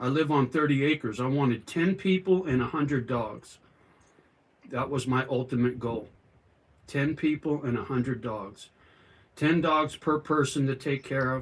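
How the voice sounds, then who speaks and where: A medium-pitched man with an American accent, at a moderate pace with ordinary pitch variation and long, frequent pauses. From California. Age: 60s. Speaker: livestreamer, retired sheet metal worker. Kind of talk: casual livestream chat reading comments. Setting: outdoors in yard.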